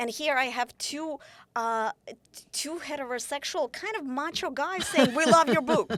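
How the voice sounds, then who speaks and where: A woman talks at a high pitch and moderate pace with lively intonation. Her loudness swings widely. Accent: Russian. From Ukraine. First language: Russian. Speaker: author. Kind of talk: interview conversation. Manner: halting, frequent self-corrections.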